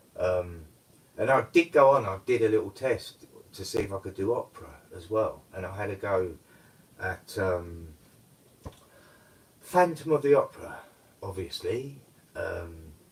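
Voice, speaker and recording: A man mumbling in a London accent at a moderate pace, with big swings in loudness and long, frequent pauses. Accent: old London tang. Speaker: live streamer, amateur karaoke singer. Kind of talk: casual live stream chat.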